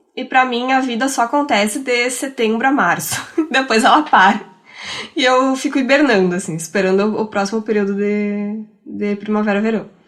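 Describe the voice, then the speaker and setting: At a moderate pace and with ordinary pitch variation, a woman with a fairly high pitch speaks over noticeable background noise. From Rio Grande do Sul, Brazil. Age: 30s. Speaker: podcaster. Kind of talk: casual chat.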